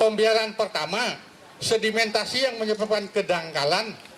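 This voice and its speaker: Over noticeable background noise, a man with a high pitch talks at a moderate pace. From Bali, Tanjung Benoa. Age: 60s. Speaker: teacher and lecturer speaking at public forum. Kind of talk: public forum speech. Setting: public forum with audience.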